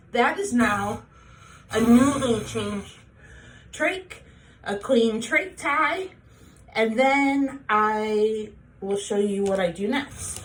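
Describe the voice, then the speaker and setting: The voice is somewhat breathy and moves at a very slow pace with long, frequent pauses. Audible room echo surrounds it. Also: woman, fairly high pitch for a woman, lively intonation. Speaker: tracheostomy patient sharing home care tips. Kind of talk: tutorial. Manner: casual, plain.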